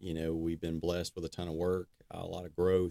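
In an Alabama accent, a man with a very deep, low pitch and a dark, mellow tone speaks in a flat monotone at a moderate pace, the sound dry and close with no echo on a very clean recording with a silent background. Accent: Southern US (Alabama). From US South, northern Alabama (Decatur). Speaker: construction business owner. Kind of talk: casual interview.

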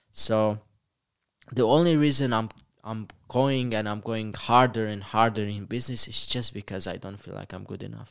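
Speaking at a moderate pace with a Romanian accent, a man with a medium pitch shows big swings in loudness over fairly even intonation. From Romania, Moldova region (Bacau area). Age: 20s. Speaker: entrepreneur. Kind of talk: interview. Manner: halting, many repetitions.

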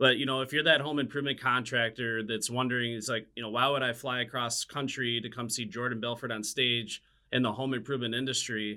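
Monotone and flat in intonation, a man talks at a very fast pace with a medium pitch. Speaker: podcast host, home improvement sales consultant. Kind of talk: interview, podcast intro.

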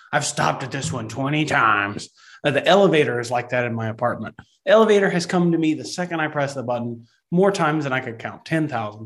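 A man with a Texan accent talks at a fairly quick pace. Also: lively intonation. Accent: Texan, Southern US. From Texas. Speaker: podcast co-host. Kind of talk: casual interview conversation.

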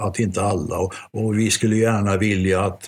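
A man speaks at a fairly low pitch and a moderate pace, his voice somewhat breathy. His intonation is fairly even. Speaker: art and record collector, jazz historian. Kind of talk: casual discussion.

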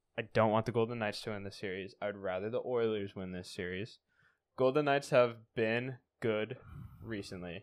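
In an American accent, a man with an unremarkable speaking voice talks at a moderate pace and fairly low pitch, with fairly even intonation, big swings in loudness and a quiet background. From US Pacific Northwest. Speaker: sports podcast host. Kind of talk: casual chat.

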